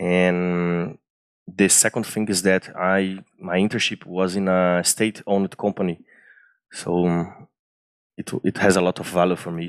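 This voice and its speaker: A man with a Brazilian accent speaks at a very deep, low pitch and a fairly slow pace. The sound is dry and close with no echo, on a very clean recording with a silent background. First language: Portuguese. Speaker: engineering student and former intern. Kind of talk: interview storytelling. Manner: animated; halting.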